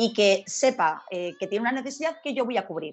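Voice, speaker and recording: A woman's fairly high, unremarkable speaking voice at a fairly quick pace, with lively intonation. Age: 40s. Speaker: sales trainer, speaker and author. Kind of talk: interview.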